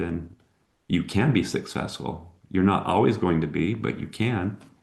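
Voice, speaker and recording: Against a quiet background, a man with an American accent speaks at a moderate pace in a very deep, low pitch. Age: 60s. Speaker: entrepreneur. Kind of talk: interview.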